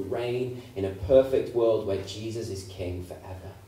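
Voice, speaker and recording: With audible room echo, a man speaks at a fairly slow pace in a fairly low voice with ordinary pitch variation. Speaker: preacher. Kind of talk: sermon. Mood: earnest, hopeful. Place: church.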